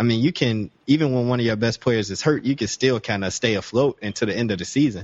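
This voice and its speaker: A man talks very fast with an American accent. His pitch is medium and varies in an ordinary way. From Chicago. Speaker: podcast host. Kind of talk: casual chat.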